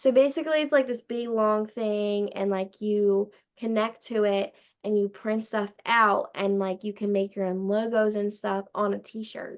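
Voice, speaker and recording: In a Philadelphia accent, a woman with a fairly high pitch speaks in an animated tone at a fairly slow pace. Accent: Delco (Philadelphia-area). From Delaware County, Pennsylvania (US). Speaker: podcast host, guest. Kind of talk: casual chat. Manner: loud.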